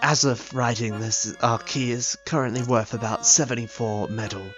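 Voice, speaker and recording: A man at a medium pitch and moderate pace, with music in the background. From Australia. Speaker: gaming youtuber. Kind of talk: video essay narration.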